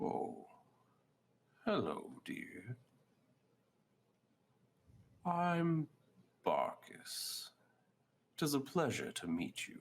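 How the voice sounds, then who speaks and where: A man performs a put-on character voice at a very slow pace with long, frequent pauses. The recording is very clean, with a silent background. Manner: friendly, polite.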